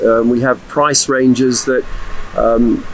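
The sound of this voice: A man's medium-pitched voice at a slow pace, little pitch movement, faint background noise.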